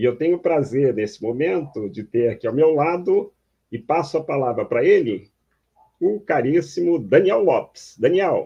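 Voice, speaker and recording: A man's fairly high voice with lively intonation, a fairly slow pace and a normal speaking voice. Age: 60s. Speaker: online talk host, researcher. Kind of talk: panel discussion.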